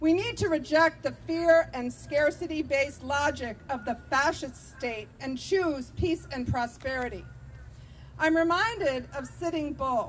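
A woman shouting in a warm tone at a high pitch, fairly slow, with ordinary pitch variation and light background noise. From Vermont, US. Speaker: activist and political candidate. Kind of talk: impassioned outdoor rally speech against militarism, stacking budget figures. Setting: rally with live audience. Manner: fiery and rousing, repeating lines like 'It's monstrous' for emphasis; warm and engaged with the crowd, laughing at their shouts. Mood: earnest, persuasive. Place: street. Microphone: podium.

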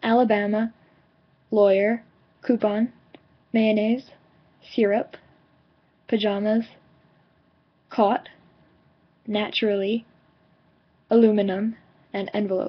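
A woman with an American accent speaks fairly slowly in a fairly high, monotone voice, leaving long, frequent pauses. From New York suburbs. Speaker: vlogger. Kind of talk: word list reading. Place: home room. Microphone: webcam.

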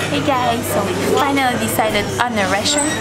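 Woman speaking at a fairly quick pace over loud background noise. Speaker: travel vlogger. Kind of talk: casual vlog chat. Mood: cheerful, relaxed. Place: cafe.

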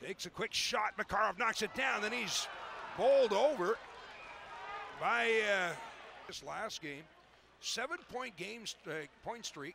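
Over noticeable background noise, a man with a high pitch uses a raised, projected voice, with lively intonation and long, frequent pauses. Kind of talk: ice hockey play-by-play commentary. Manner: fast, clipped, animated play-by-play delivery.

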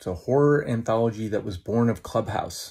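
A man's dark, mellow, somewhat breathy voice at a fairly quick pace, ordinary pitch variation, on a very clean recording with a silent background. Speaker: film director and writer. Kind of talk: casual interview chat. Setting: radio interview.

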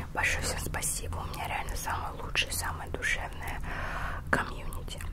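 Loud background noise fills the clip. Through it, a woman speaks at a moderate pace. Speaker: ASMR haul vlogger. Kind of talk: casual vlog chat. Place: home room. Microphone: handheld.

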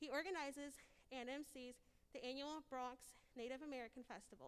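A woman with a high voice talks at a fairly quick clip, her pitch moving in an ordinary way. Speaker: student; event host introducing speaker. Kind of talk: speaker introduction. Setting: auditorium with audience. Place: hall. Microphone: podium.

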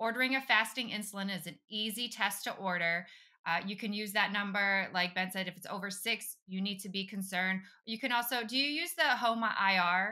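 A woman's bright, sharp voice at a medium pitch and fairly quick pace, with ordinary pitch variation and a quiet background. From Europe. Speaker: podcast host and physician assistant; podcast host. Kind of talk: interview; interview conversation. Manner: animated. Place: home room. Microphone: earbuds.

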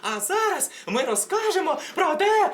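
Using a put-on character voice, someone projects at an extremely high pitch with very wide pitch swings and a moderate pace.

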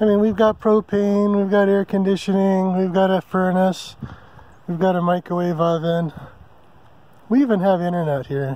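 With an American accent, a man speaks in a high pitch with a dark, mellow, relaxed tone, fairly even intonation and a moderate pace, in a dry sound with no echo. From California (San Diego); California. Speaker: RV travel vlogger. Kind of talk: casual vlog monologue. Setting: outdoors at a campsite in the forest. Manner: relaxed with many fillers (um, uh). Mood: relaxed, content. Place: open country. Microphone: phone near.

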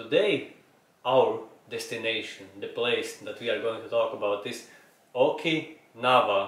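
A man talks at a moderate pace. Audible echo from the room can be heard. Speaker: podcast host. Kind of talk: podcast intro talk. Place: home room.

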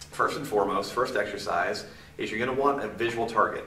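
Speaking very fast, a man is heard with audible room echo and light noise behind him. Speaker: movement and balance training instructor. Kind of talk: instructional video tutorial. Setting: filmed on camera. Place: gym.

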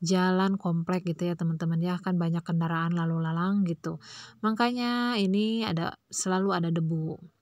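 Delivered at a moderate pace with hardly any pauses, a normal speaking voice keeps a fairly even intonation and very even loudness. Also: woman, fairly low pitch for a woman. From Indonesia, Pandeglang, Banten. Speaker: vlogger, housewife. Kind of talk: casual vlog narration. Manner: chatty, many fillers.

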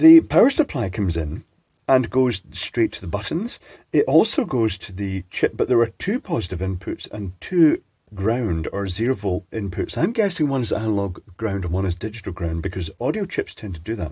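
A man's medium-pitched, dark and mellow voice, somewhat breathy, with very wide pitch swings at a moderate pace, on a very clean recording with a silent background and a dry, close sound without echo. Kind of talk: casual electronics teardown talk.

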